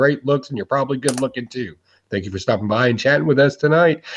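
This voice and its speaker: Somewhat breathy, a man speaks at medium pitch. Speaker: former radio DJ. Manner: practiced, smooth public speaker.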